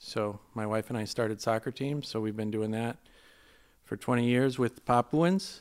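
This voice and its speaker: In an ordinary speaking voice, a man at a medium pitch speaks at a moderate pace with ordinary pitch variation, on a very clean recording with a silent background and a dry, close sound with no echo. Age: 50s. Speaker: missionary and Bible teacher. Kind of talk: casual interview chat. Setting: studio.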